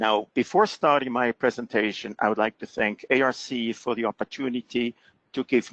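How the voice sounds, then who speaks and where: Here a man speaks at a moderate pace with a non-native accent and a medium pitch. His intonation is fairly even, and the sound is dry and close with no echo. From Switzerland. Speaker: fraud prevention expert presenter. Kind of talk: presentation. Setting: webinar call.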